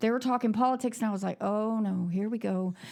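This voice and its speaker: A woman talks at a very fast pace. Her intonation is lively. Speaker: coffee shop owner. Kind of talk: casual chat. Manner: gets loud when excited.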